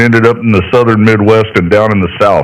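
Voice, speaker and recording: With an American accent, a man speaks at a fairly quick pace in an unremarkable speaking voice of medium pitch. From Idaho. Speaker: ham radio operator. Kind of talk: amateur radio contact. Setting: ham radio transmission. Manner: casual, folksy.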